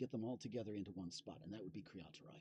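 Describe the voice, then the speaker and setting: A man speaks with a fairly low pitch and a somewhat breathy quality. His intonation is lively. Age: 60s. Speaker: musician and fiddler streaming live. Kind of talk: casual live stream chat. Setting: live stream from inside an RV. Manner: halting, many fillers and repeats.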